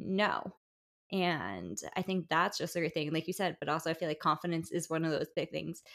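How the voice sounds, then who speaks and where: Her speaking pace is moderate, and vocal fry runs through it. The woman's pitch is fairly low with ordinary variation. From New Jersey, Bergen County. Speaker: podcast host. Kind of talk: casual interview chat. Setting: remote recording.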